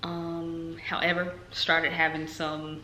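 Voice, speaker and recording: Audible room echo comes through along with noticeable background noise. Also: woman. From North Carolina. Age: 20s. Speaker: nursing student vlogger. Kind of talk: casual vlog talk. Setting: talking to camera at home. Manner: casual, many fillers.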